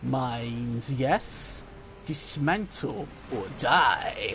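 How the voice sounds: Over clear background noise, a man puts on a character voice with a dramatic, menacing tone, speaking very slowly at a medium pitch.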